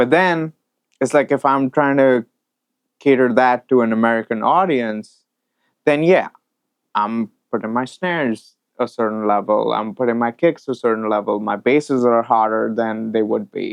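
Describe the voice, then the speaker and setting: With an Indian accent, a man talks at a moderate pace in a medium pitch with ordinary pitch variation. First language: Hindi. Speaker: audio mixing engineer. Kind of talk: interview conversation.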